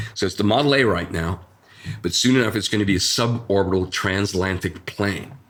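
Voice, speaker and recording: At a moderate pace, a man with an American accent talks with ordinary pitch variation. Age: 60s. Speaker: designer. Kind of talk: interview. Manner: halting.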